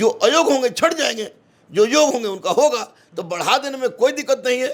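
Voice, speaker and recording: This man's voice is extremely high in pitch. His intonation is lively. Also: moderate pace. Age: 40s. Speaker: coaching teacher. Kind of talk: interview.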